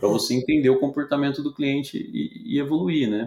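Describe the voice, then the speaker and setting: This is a plain, everyday voice. It keeps a moderate pace. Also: man. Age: 40s. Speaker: tech company CEO. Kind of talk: interview.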